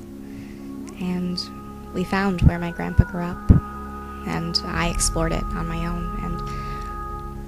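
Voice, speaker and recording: A woman speaks with music in the background. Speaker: student. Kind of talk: book trailer narration, first-person story.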